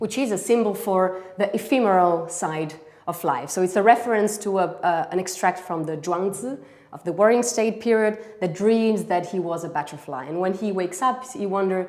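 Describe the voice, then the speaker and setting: A woman with a non-native accent, medium in pitch with ordinary pitch variation, speaking at a moderate pace. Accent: foreign accent in English. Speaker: exhibition curator and art historian. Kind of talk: virtual exhibition tour. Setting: livestream from Paris exhibition. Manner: hesitant, many fillers.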